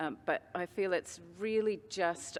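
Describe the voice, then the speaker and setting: A woman talks with a New Zealand accent. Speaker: teacher. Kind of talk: conference presentation.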